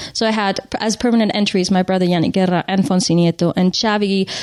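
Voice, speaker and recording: In a French accent, a woman speaks at medium pitch with fairly even intonation. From Switzerland, French-speaking, Spanish parents. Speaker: motorsport press officer and TV presenter. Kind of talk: casual interview.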